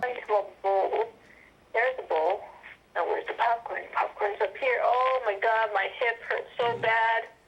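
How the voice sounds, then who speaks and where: With noticeable background noise behind her, a woman with a fairly high voice speaks fairly slowly, her loudness very even and her pitch varying in an ordinary way. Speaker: interviewee describing paranormal experiences. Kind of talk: casual chat. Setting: phone call.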